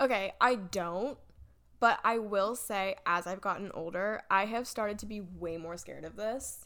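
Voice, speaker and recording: Speaking at a moderate pace with an American accent, a woman has a bright, sharp tone, vocal fry, ordinary pitch variation and big swings in loudness. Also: medium pitch for a woman, very clean recording, silent background. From North Carolina. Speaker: podcast co-host. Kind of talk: casual chat.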